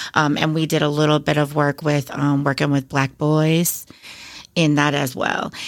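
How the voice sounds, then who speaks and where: In an Upper Midwest accent, the speaker talks at a moderate pace with monotone, flat intonation on a very clean recording with a silent background. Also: woman, very deep, low pitch for a woman. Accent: Upper Midwest American. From Wisconsin, Beloit. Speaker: elementary school principal. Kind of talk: interview.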